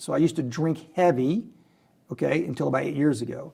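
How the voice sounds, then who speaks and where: Animated and lively in intonation, a man speaks in a fairly high pitch with vocal fry. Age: 60s. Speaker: oil and gas company chairman. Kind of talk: interview storytelling.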